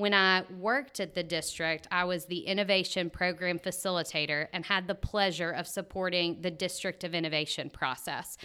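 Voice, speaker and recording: A woman's bright, sharp tone at a moderate pace, with fairly even intonation and hardly any pauses, on a very clean recording with a silent background. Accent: Mississippi. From US South, Tupelo, Mississippi. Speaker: nonprofit project manager. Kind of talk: interview.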